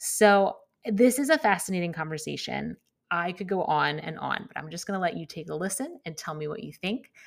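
An unremarkable speaking voice from a woman, medium in pitch, with lively intonation, a moderate pace and big swings in loudness, on a very clean recording with a silent background. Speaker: podcast host. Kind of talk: casual interview chat. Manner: warm, friendly.

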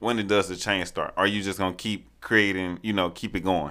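On a very clean recording with a silent background, a man with a fairly low pitch and a bright, sharp tone speaks at a moderate pace. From Montgomery, Alabama. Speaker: graduate student. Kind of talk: casual chat.

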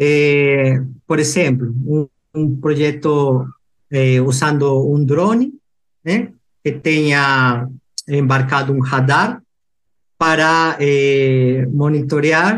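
A man with a Peruvian accent speaks at a fairly high pitch, with ordinary pitch variation and very even loudness. His pace is very slow, with long, frequent pauses. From Peru, Lima. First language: Spanish (speaking Portuguese). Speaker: engineering researcher. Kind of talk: interview. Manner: halting.

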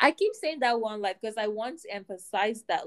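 A plain, everyday voice from a woman, fairly high in pitch with ordinary pitch variation, at a moderate pace, in a dry, close sound with no echo. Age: 20s. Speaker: podcast co-host. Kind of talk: casual chat.

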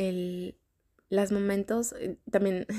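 A woman talks at a very slow pace with medium pitch and fairly even intonation. The sound is dry and close with no echo, a very clean recording with a silent background. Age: 30s. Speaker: podcast host. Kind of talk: personal reflective monologue. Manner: casual, filler-heavy.

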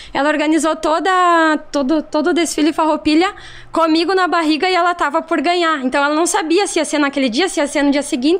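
Speaking very fast in a southern Brazilian accent, this voice keeps a fairly even intonation. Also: woman, extremely high pitch for a woman. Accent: gaúcho Brazilian Portuguese. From Rio Grande do Sul, Brazil. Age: 30s. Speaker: social media influencer and shop owner. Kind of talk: casual podcast interview.

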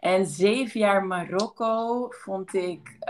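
A woman with a medium pitch uses an ordinary speaking voice and fairly even intonation. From Belgium, near Maastricht. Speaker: anthropologist and lecturer. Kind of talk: casual interview.

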